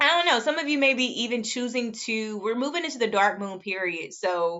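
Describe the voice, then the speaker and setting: Lively intonation from a woman, fairly high in pitch, at a fairly quick pace. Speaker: astrologer. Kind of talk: astrology forecast monologue. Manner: fast; casual, many fillers.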